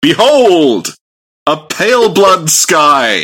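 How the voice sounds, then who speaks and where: A man puts on a character voice pitched high. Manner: dramatic, exclamatory.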